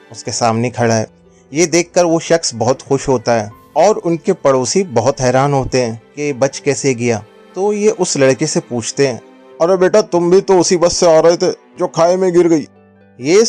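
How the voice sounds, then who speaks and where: Music plays in the background while a man speaks with lively intonation. The sound is dry and close, with no echo. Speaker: storyteller, voiceover artist. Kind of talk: moral story narration for an animated video.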